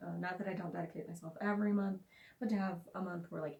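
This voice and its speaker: In a somewhat breathy voice, a woman rushes along at a very fast pace. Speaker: author. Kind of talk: casual talk to camera.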